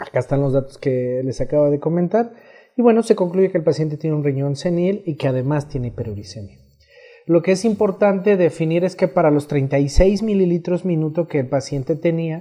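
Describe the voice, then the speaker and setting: An ordinary speaking voice belongs to a man with a fairly high pitch. He speaks at a fairly quick pace with lively intonation. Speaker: nephrologist. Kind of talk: medical lecture.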